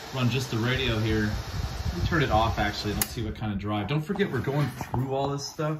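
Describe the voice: A man at medium pitch, a fairly quick pace and ordinary pitch variation, with audible room echo.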